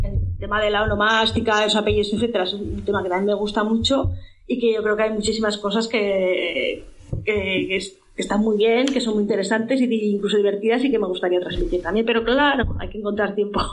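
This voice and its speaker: Fairly quick, fairly even-toned speech from a woman, with noticeable background noise and audible room echo. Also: fairly high pitch for a woman. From Spain, Zaragoza (Aragon). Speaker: genealogy researcher and blogger. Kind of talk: casual interview.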